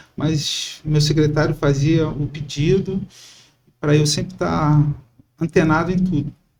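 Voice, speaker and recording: Somewhat breathy and fairly high-pitched, a man speaks with monotone, flat intonation and long, frequent pauses. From Brazil, Itaguaí (Rio de Janeiro state). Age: 40s. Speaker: civil servant, candidate for city council. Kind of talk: podcast interview. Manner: hesitant, with fillers.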